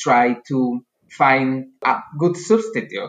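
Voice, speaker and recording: A man with a Spanish accent speaks at medium pitch with ordinary pitch variation. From Spain. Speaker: agricultural researcher. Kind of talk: interview.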